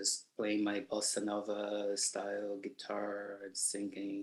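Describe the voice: Slow, monotone speech from a man at a fairly low pitch, with flat intonation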